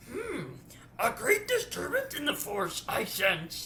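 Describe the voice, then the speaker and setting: Someone puts on a character voice at a fairly slow pace, with clear background noise behind it. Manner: wise, gravelly, inverted syntax.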